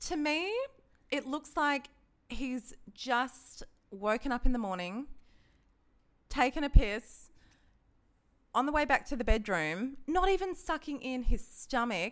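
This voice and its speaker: A woman speaks in an Australian accent at a high pitch with very wide pitch swings. Her pace is fairly slow, with long, frequent pauses. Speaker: dating app user, former radio traffic reporter. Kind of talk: casual chat. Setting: studio.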